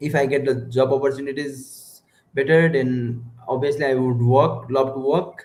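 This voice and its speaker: Speaking with a Nepali accent, a man keeps a medium pitch and a monotone, flat intonation. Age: 20s. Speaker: stranger on video chat app. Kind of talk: casual chat. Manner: halting.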